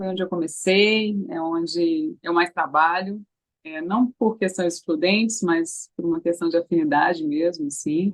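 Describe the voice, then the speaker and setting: At a fairly slow pace, a woman speaks at a medium pitch. She has a plain, everyday voice. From Brazil, Recife (Pernambuco). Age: 30s. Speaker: actress. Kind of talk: interview.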